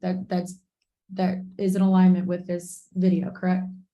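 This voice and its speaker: Somewhat breathy and dark, mellow in tone, a woman speaks at a medium pitch and a moderate pace. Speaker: attorney taking a deposition. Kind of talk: deposition questioning. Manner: halting, repeats words.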